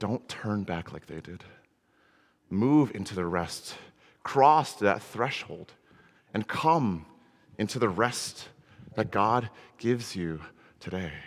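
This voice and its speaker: An American man talks at a very slow pace, leaving long, frequent pauses. His loudness swings a lot. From Connecticut, US. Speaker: minister. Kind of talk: sermon. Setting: church. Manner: halting, frequent repetitions.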